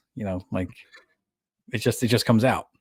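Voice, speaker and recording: With an American accent, this voice moves along at a fairly quick pace. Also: man. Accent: New York accent, consciously toned down. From New York. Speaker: podcast host. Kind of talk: casual chat.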